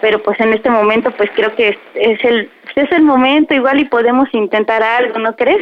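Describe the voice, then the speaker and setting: A woman talks at a moderate pace in a fairly high pitch, with very even loudness and ordinary pitch variation. Hers is an unremarkable speaking voice. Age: 20s. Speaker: caller. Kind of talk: prank phone call.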